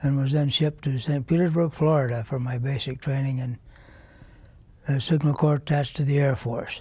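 A man with an American accent speaks at a moderate pace in a dark, mellow tone, somewhat breathy. His intonation is fairly even, and the sound is dry with no echo. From US Midwest (Nebraska). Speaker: war veteran. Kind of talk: oral history interview. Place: studio. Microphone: lapel.

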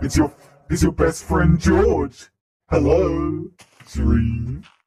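The speech moves at a very slow pace, and a clear echo surrounds it. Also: man, medium pitch for a man. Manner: menacing, teasing.

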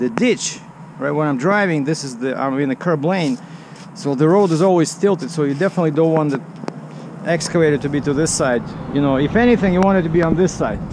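Noticeable background noise accompanies a man speaking at a very fast pace with ordinary pitch variation, in a dry sound with no echo. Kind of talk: casual vlog chat. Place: open country. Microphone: phone near.

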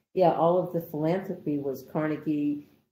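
Moderate in pace and ordinary in pitch variation, this dark, mellow voice with an American accent carries some audible room echo. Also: woman. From Rochester, New York, USA. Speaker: oral history interviewee. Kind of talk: oral history interview answer, recalling a memory. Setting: remote recorded interview (video call). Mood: reflective, warmly nostalgic.

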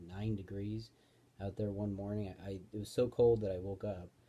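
A dark, mellow tone, somewhat breathy, comes through at a fairly quick pace. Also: man. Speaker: vlogger. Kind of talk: casual vlog chat. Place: home room. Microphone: phone near.

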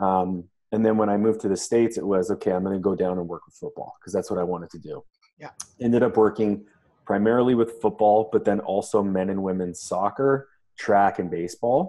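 Against a quiet background, a man with a dark, mellow tone and fairly low pitch talks at a fairly quick pace with fairly even intonation. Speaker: strength coach guest. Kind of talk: interview answer. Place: gym. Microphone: video call.

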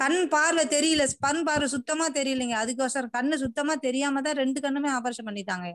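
Against a quiet background, a woman speaks in a high pitch with ordinary pitch variation and very even loudness. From Attur, Tamil Nadu; Tamil Nadu. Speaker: caller. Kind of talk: phone-in question.

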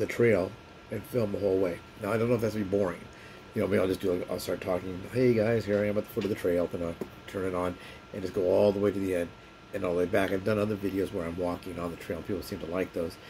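A man with a very deep, low pitch rushes along at a very fast pace in monotone, flat intonation, with light background noise. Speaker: vlogger. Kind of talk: casual vlog chat. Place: home room. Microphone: phone near.

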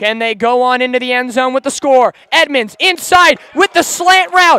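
Lively in intonation and animated in tone, a man speaks with a bright, sharp voice in a dry, close sound with no echo. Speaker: high school football announcer. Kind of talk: football commentary. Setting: audio highlights of a game. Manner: animated, excitable play-by-play.

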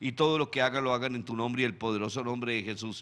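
With fairly even intonation, a man talks at a fairly quick clip. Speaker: show host. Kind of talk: prayer then news commentary. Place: studio. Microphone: studio mic.

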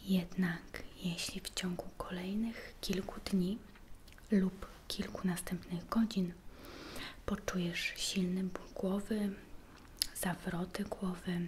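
In a soft-spoken, gentle tone, the voice moves at a very slow pace with monotone, flat intonation and long, frequent pauses, over noticeable background noise. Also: woman. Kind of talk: role-play medical exam, soft-spoken. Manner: soft-spoken, gentle ASMR voice. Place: kitchen. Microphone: phone near.

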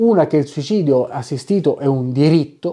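A man's fairly high voice with a dark, mellow tone. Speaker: philosophy educator and bioethics committee member. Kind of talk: educational video monologue. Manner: hesitant, many fillers.

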